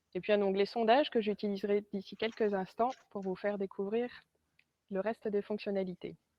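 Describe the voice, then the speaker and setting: Speech comes at a moderate pace with monotone, flat intonation. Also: woman, medium pitch for a woman. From northern France, Arras. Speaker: sales representative and trainer. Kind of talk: webinar presentation. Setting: online webinar.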